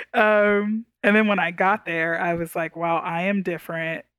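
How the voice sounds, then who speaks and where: A woman with a plain, everyday voice talks at a moderate pace with fairly even intonation. The recording is very clean, with a silent background and a dry, close sound with no echo. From Texas, Houston. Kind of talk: interview conversation.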